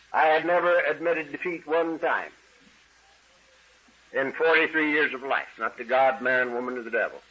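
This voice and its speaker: A man's fairly high-pitched voice with fairly even intonation, a moderate pace and long, frequent pauses over noticeable background noise. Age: 70s. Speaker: AA speaker sharing recovery story. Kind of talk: testimony.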